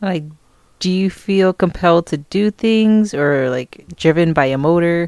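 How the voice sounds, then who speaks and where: Quietly and at a fairly low pitch, a woman speaks with ordinary pitch variation on a very clean recording with a silent background. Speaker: host's wife.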